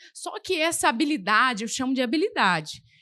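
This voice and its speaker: A woman speaks in an animated tone that is bright and sharp, with very wide pitch swings. The background is quiet. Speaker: preacher. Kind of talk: sermon. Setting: church.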